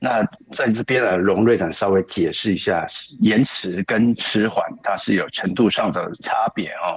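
This man speaks at a very slow pace with a Taiwanese accent. His pitch is fairly low and varies in an ordinary way. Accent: Taiwanese Mandarin. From Kaohsiung, Taiwan. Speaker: program student sharing experience. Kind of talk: testimony.

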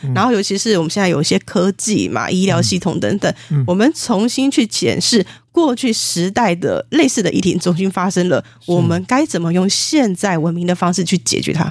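A woman speaks at a fairly quick pace with hardly any pauses, her medium pitch carrying lively intonation. Her voice shows vocal fry and very even loudness. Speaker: spiritual medium and author. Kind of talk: interview.

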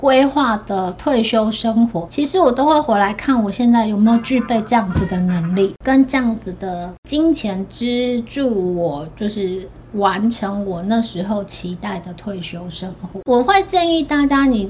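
A woman's fairly high, lively voice at a fairly slow pace with hardly any pauses, amid noticeable background noise. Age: 40s. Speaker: podcast host. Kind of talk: casual chat.

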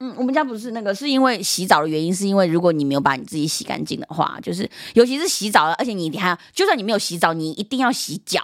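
A loud, animated woman at a medium pitch races along at a very fast pace with hardly any pauses and very wide pitch swings. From Myanmar (Chinese diaspora family), moved to Taiwan at age 10. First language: Yunnanese dialect (speaking Chinese). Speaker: guest, cultural content creator. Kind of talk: casual chat. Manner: laughs loudly and often.

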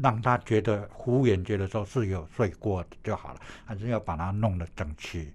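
At a moderate pace, a somewhat breathy man talks at a fairly low pitch with ordinary pitch variation and big swings in loudness. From Taiwan, Puli (Nantou). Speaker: retired athletics coach and PE teacher. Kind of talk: interview. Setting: studio. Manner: halting, many fillers.

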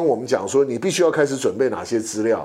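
A man speaks at a very fast pace. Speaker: podcast co-host, sports league executive. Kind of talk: casual chat.

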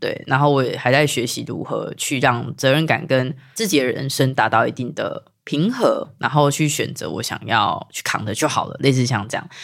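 This woman has a very deep, low pitch and ordinary pitch variation. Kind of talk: casual chat.

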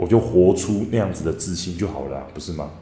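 Noticeable background noise surrounds a man with a very deep, low pitch. He talks at a fairly quick pace with ordinary pitch variation. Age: 30s. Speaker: parenting coach and podcast host. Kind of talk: monologue book review.

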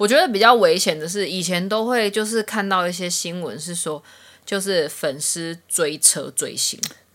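This is an ordinary speaking voice. It has ordinary pitch variation. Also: woman, medium pitch for a woman, moderate pace. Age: 30s. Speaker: podcast co-host. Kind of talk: casual chat.

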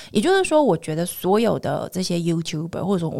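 A woman's fairly low voice with lively intonation and vocal fry, on a very clean recording with a silent background. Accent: Taiwanese. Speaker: podcast host. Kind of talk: casual interview chat.

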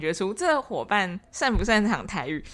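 Very wide pitch swings in a woman's fairly high voice, moderately paced. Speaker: podcast host for animal welfare association. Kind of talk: casual chat.

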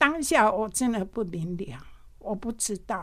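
At a fairly slow pace, a woman with a medium pitch swings her voice very widely up and down. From Taiwan, Pingtung. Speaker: retired nurse supervisor, volunteer. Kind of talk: testimony. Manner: halting.

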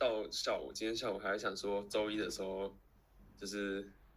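Through audible room echo, a man talks at a moderate pace and a fairly low pitch with monotone, flat intonation. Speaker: podcast co-host. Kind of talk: casual chat. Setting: live stream over call.

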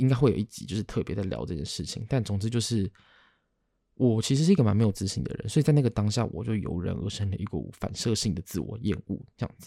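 In a Taiwanese accent, a man talks at a very fast pace with lively intonation, vocal fry, a fairly low pitch and a dark, mellow tone, on a very clean recording with a silent background. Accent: Taiwanese Mandarin. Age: 30s. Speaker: podcast host. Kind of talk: casual solo monologue.

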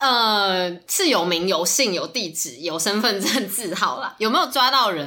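A woman of medium pitch speaks at a fairly slow pace with hardly any pauses. Her bright, sharp voice swings very widely in pitch. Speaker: podcast guest, scam victim. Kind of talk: casual chat.

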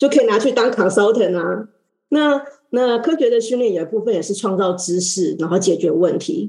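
A woman at medium pitch and a moderate pace, with lively intonation and a dark, mellow tone. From Taiwan. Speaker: oceanographer and energy consultant. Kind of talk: panel talk.

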